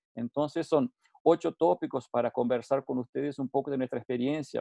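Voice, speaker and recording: Moderate-paced speech from a man with a fairly high pitch. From Uruguay. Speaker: safety consultant. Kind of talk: webinar lecture. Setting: online webinar. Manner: halting, with frequent repetitions and fillers.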